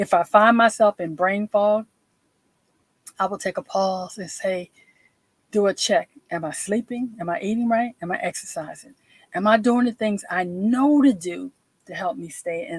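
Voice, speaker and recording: A woman's medium-pitched, somewhat breathy voice with an American accent, moderate pace and lively intonation, in a dry, close recording with no echo. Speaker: veteran and self-care speaker. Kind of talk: live stream talk. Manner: occasionally slurred words.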